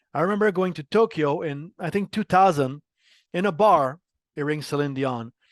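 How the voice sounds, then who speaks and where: A man speaks at a fairly high pitch with ordinary variation and a slight French Canadian accent. The sound is dry and close with no echo, and the background is quiet. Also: moderate pace. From Quebec, Montreal. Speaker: marketing executive. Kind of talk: interview.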